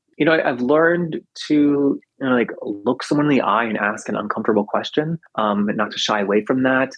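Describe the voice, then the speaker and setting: Here is a normal speaking voice with ordinary pitch variation. The pace is fairly quick. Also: man, medium pitch for a man. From US South. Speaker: podcast host and radio producer. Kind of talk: interview. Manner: casual, frequent fillers.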